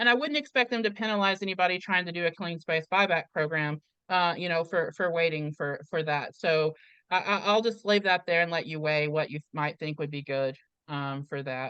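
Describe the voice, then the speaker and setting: A woman speaks loudly in a fairly low pitch with a bright, sharp tone, ordinary pitch variation and a moderate pace. The sound is dry and close with no echo, over a quiet background. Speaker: community organizer and live chat host. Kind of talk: live stream Q&A. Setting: video call. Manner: hesitant, many fillers.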